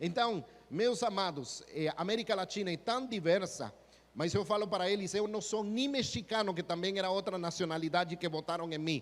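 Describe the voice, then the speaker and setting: This man's voice sits high for a man, with ordinary pitch variation and a Spanish accent. He talks at a fairly quick pace. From Guatemala. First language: Spanish (speaking Portuguese). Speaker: missionary pastor. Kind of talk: sermon. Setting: church.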